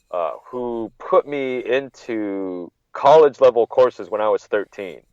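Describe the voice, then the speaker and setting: With a Californian accent, a man talks at a fairly slow pace with big swings in loudness, the sound dry and close with no echo. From California (Monterey, NorCal). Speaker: wrestling journalist, podcast guest. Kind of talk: casual interview chat. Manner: halting, with frequent repetitions.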